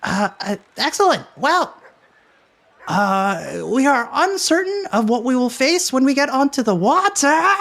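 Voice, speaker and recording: In a put-on character voice, a man speaks at an extremely high pitch. His pace is fairly slow. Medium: actual play. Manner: excitable, exclamatory, repetitive.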